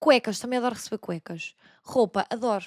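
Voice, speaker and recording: The recording is very clean, the background silent, the sound dry and close with no echo. A woman talks at a fairly quick pace. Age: 20s. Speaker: podcast host. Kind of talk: casual chat. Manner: fast; animated.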